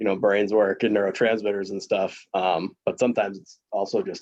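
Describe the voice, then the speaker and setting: A man is speaking. His pace is very fast. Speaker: presenter on trauma-informed recovery. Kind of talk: group discussion.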